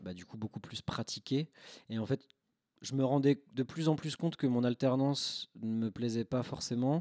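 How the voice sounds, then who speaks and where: A man speaks in a dark, mellow tone at a fairly slow pace, with long, frequent pauses and big swings in loudness. The sound is dry and close with no echo, on a very clean recording with a silent background. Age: 30s. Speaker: film photographer and photo lab technician. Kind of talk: casual chat.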